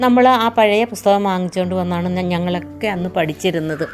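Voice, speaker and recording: Over background music, a woman talks with ordinary pitch variation. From Kerala. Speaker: storyteller. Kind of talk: reminiscing monologue. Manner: halting.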